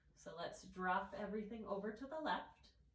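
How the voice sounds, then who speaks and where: Calm in tone, a woman speaks with ordinary pitch variation. Audible room echo surrounds her voice. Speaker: yoga instructor. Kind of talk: guided yoga class. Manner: calm, instructive.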